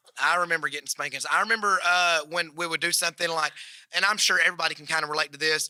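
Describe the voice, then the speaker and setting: A man with a high pitch and a Southern US accent, bright and sharp in tone, monotone and flat in intonation, with a dry, close sound and no echo. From Alabama. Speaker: comedian. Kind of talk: podcast conversation.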